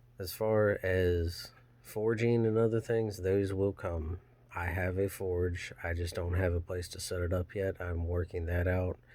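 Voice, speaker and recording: Soft-spoken and very deep, this man has a dark, mellow tone. He talks fairly slowly in a flat monotone. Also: very clean recording, silent background. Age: 30s. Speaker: channel owner, hobby blacksmith vlogger. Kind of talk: casual personal vlog monologue. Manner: halting.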